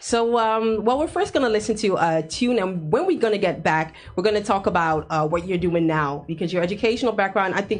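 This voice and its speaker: A woman's normal speaking voice with lively intonation at a fairly quick pace. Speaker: radio host. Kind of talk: radio interview. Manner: laughs often.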